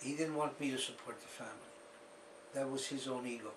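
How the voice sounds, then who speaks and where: Audible room echo surrounds a man's voice. His pitch is fairly high, with ordinary pitch variation. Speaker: author recounting his family's history. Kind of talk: interview.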